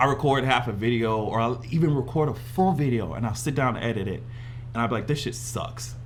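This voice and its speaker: A man at a fairly quick pace with ordinary pitch variation, audible room echo and noticeable background noise. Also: medium pitch for a man. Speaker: YouTuber. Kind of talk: casual chat. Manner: animated.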